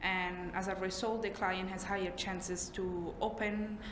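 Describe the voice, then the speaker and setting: Over noticeable background noise and audible room echo, a woman with a non-native accent talks at a medium pitch with monotone, flat intonation. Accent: foreign. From Italy. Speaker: trainee therapist. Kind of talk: job interview. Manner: halting, many fillers.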